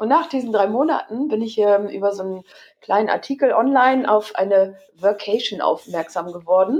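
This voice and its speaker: In a normal speaking voice, the speaker moves at a moderate pace with lively intonation. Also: woman, fairly high pitch for a woman. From Hamburg, northern Germany. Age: 30s. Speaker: entrepreneur. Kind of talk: interview.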